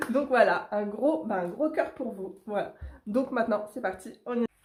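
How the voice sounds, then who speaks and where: Lively intonation marks this woman's speech. Her pitch is fairly high. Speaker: coloring tutorial youtuber. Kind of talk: tutorial. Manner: animated.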